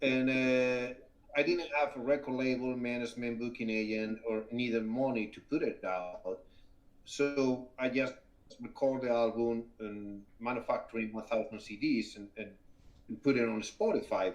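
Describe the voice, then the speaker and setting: A man with a Spanish accent talks at a moderate pace. His intonation stays fairly even. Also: medium pitch for a man. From northern Spain, Asturias mountain town. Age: 50s. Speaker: rock guitarist and singer. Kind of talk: interview conversation. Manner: halting, repeating words.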